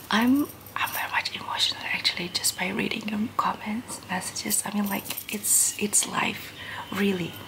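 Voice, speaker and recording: A woman whispering in a gentle tone at a fairly slow pace. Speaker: vlogger. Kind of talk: casual vlog chat. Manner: soft-spoken, gentle ASMR murmur. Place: home room. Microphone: phone near.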